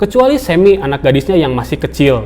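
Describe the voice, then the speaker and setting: Noticeable background noise surrounds the recording. A man talks at a very fast pace with a high pitch. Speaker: film recap narrator. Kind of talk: movie plot recap narration.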